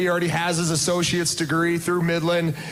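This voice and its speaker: Audible room echo and noticeable background noise surround a man speaking at a fairly quick pace with a high pitch. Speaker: college basketball coach. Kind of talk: speech to crowd over PA. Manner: loud.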